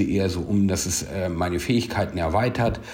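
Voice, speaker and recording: Over noticeable background noise and audible room echo, a man speaks at a moderate pace with a fairly low pitch. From Hanover, Germany. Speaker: parkour gym operator. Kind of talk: voice message monologue. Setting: WhatsApp voice message.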